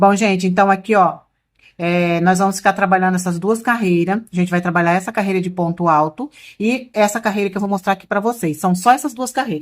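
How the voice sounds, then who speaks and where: On a very clean recording with a silent background, a woman talks at a fairly quick pace. Her pitch is medium, with ordinary variation. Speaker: crochet instructor. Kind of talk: tutorial. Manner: loud, nearly shouting earlier in video; softer speaking now.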